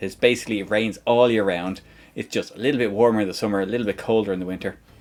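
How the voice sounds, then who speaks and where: This man has an Irish accent and a fairly low pitch. He talks at a fairly quick pace with fairly even intonation. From Ireland. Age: 40s. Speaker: game streamer. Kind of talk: casual chat. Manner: halting.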